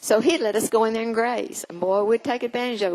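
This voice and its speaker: An American-accented woman with an ordinary speaking voice, fairly high pitch and a fairly quick pace. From Oklahoma. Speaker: storyteller. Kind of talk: storytelling performance. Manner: warm.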